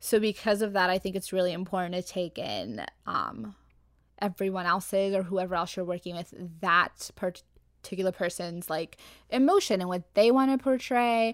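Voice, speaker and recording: Recorded very cleanly with a silent background, a woman with an unremarkable speaking voice and an American accent speaks at a medium pitch and moderate pace with ordinary pitch variation. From Arizona. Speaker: graphic designer. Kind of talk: casual chat.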